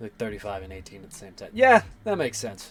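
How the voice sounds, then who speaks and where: A man talks at a fairly quick pace. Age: 20s. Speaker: streamer and 3D artist. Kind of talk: casual live stream chat.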